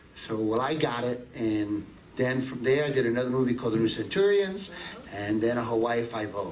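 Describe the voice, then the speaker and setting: Noticeable background noise surrounds a man speaking at a fairly quick pace. His medium pitch shows ordinary variation. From East Harlem, New York City. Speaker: actor and voiceover artist. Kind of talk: interview answer. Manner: lively, switches between English and Spanish.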